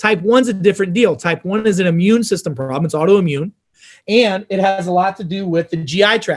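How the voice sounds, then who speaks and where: A fairly quick delivery in an American accent, with ordinary pitch variation. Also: man, high pitch for a man. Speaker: doctor giving health talk. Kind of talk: health lecture. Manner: fast; animated.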